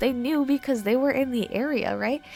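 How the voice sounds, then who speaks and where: Over music in the background, a woman talks at a fairly quick pace with ordinary pitch variation. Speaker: artist. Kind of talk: casual talk to camera, art advice.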